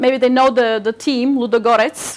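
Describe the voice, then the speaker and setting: A woman speaks in a Turkish accent at a high pitch. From Bulgaria, Razgrad region, Turkish minority. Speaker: literary agent, speaker. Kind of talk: public talk. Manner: halting, many repetitions.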